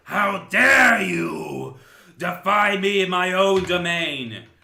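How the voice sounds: A man puts on a raspy character voice, high-pitched and very slow. An echo is audible.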